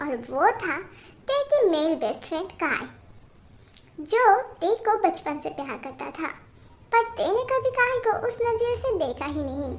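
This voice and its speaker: A woman talks at a moderate pace. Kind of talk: melodramatic romance narration. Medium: fan dub. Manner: chatty, casual.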